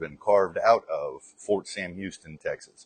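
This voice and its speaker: Here a man speaks with a slight Southern US accent. The sound is dry and close, with no echo. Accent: general American, little Southern drawl. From Arkansas. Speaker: soldier. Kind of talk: interview answer. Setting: outdoors.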